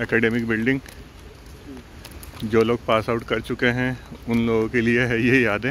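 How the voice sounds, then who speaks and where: A man speaks fairly slowly with long, frequent pauses, flat monotone intonation and very even loudness, in a dry sound with no echo over light background noise. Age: 30s. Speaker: law student and vlogger; vlogger. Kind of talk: casual vlog talk to camera. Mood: reflective, nostalgic. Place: open country. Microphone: phone near.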